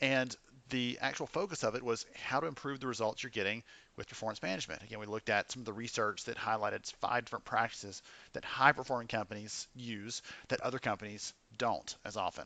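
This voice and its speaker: Speaking very fast against a quiet background, a man with a medium-pitched voice has a bright, sharp tone and ordinary pitch variation. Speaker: podcast host. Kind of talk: podcast intro and interview hosting. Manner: casual, upbeat.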